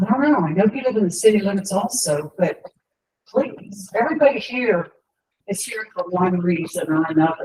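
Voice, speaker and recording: A woman speaks at a moderate pace in a dark, mellow tone, somewhat breathy, with lively intonation. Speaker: resident speaking at public comment. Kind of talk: public comment.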